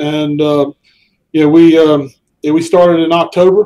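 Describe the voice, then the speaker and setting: A man's fairly high-pitched voice with a Southern US accent, dark and mellow in tone, monotone and flat in intonation, at a moderate pace. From US South. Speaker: social network founder. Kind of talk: interview. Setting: live stream. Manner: halting, many fillers.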